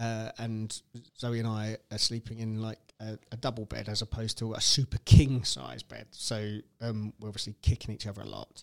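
Speaking at a moderate pace with a British accent, a man keeps a monotone, flat intonation while his loudness swings a lot, the sound dry and close with no echo. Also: fairly low pitch for a man. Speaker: podcast host, stay-at-home dad. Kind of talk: casual chat.

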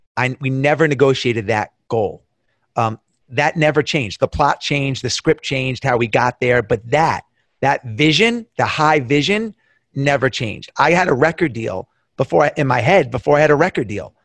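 Animated in tone, a man with a New York accent talks at a moderate pace and fairly high pitch with lively intonation, the sound dry and close with no echo against a quiet background. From US Northeast, Long Island, New York. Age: 50s. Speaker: entrepreneur. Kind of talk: casual chat.

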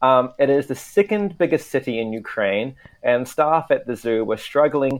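A man with a New Zealand accent, fairly slow pace and very wide pitch swings. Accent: Kiwi. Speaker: international news correspondent. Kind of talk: casual chat. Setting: remote call from Tokyo.

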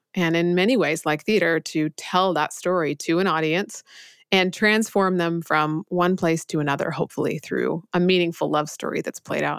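A woman with a plain, everyday voice talks at a moderate pace, fairly low in pitch with fairly even intonation, in a very clean recording with a silent background. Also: dry, close sound with no echo. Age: 40s. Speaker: entrepreneur and author. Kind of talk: interview conversation.

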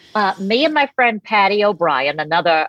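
Moderate-paced speech from a woman with an American accent, the sound dry and close with no echo.

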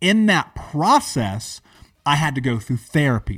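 In a very clean recording with a silent background and a dry, close sound with no echo, a man with an American accent uses an animated tone, a fairly high pitch and very wide pitch swings. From US, major city. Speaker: entrepreneur and motivational speaker. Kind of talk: interview, personal life story.

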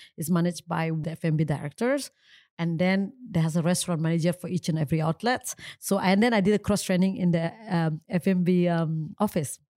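A woman with an Indonesian accent speaks at a fairly quick pace, her fairly low voice dark and mellow with ordinary pitch variation. The recording is very clean with a silent background, and the sound is dry and close with no echo. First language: Indonesian or Balinese. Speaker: coffee entrepreneur. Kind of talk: interview.

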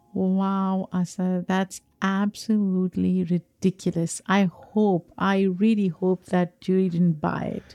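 In a very clean recording with a silent background and a dry, close sound with no echo, a woman speaks very slowly with hardly any pauses, at a medium pitch, in a dark, mellow tone with monotone, flat intonation. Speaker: podcast co-host. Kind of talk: casual discussion.

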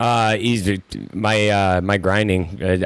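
A man's very deep, low voice holds a fairly even intonation, with an American accent. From US Midwest. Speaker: MMA fighter and military veteran. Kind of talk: casual chat. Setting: studio.

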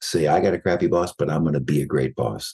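Vocal fry marks this fairly quick-paced voice. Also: man. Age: 60s. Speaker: psychologist and executive coach, author. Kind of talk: interview.

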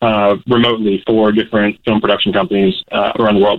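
Very fast delivery from a man at a medium pitch. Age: 20s. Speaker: caller. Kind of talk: casual chat. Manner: hesitant, many fillers.

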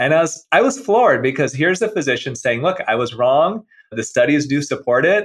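Fairly high in pitch, a man speaks at a fairly quick pace with very wide pitch swings. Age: 50s. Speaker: plastic surgeon. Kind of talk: interview.

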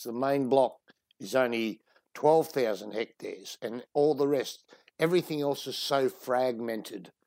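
A man with a strong Australian accent speaks with ordinary pitch variation on a very clean recording with a silent background. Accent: broad Australian. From Sydney, Australia. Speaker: wildlife conservationist. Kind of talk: casual interview.

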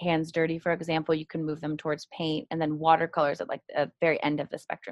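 In an American accent, a woman talks at a fairly quick pace with a very deep, low pitch and monotone, flat intonation. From California, Marin County. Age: 30s. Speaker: art therapist. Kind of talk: interview.

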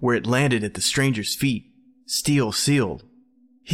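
Reading in a natural voice

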